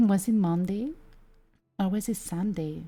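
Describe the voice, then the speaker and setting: A woman's voice with a strong Italian accent and ordinary pitch variation, over music in the background. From Italy. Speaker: VTuber streamer. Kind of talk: casual chat. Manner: halting.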